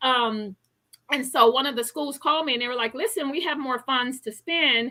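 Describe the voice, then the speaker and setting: Woman's raised, projected voice, high in pitch with a bright, sharp tone, ordinary pitch variation and moderate pace. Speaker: health coach and author. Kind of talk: interview.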